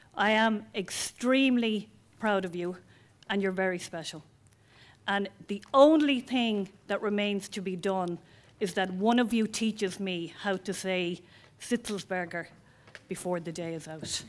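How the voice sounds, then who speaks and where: In an Irish accent, the speaker goes at a fairly slow pace with long, frequent pauses and ordinary pitch variation, on a very clean recording with a silent background. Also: woman, medium pitch for a woman. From Ireland. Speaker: college founder. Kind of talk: ceremony speech. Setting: auditorium with audience.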